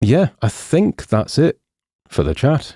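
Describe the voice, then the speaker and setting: In a very clean recording with a silent background and a dry, close sound with no echo, a man speaks with a dark, mellow tone and lively intonation. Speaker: software tutorial presenter. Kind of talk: live stream Q&A and sign-off. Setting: live stream. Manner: casual, hesitant with fillers.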